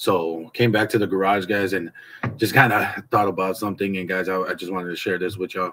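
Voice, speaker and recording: Talking at a fairly quick pace, a man has an unremarkable speaking voice in a fairly low pitch. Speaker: motivational vlogger. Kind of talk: casual vlog chat. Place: garage. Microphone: phone near.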